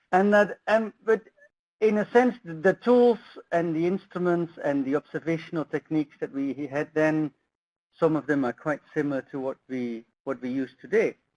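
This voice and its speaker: With a slight Dutch accent, a man talks at a moderate pace and a fairly high pitch. His intonation is lively, and the sound is dry and close with no echo. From Netherlands. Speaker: soil science professor. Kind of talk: lecture. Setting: webinar presentation. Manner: halting, many fillers.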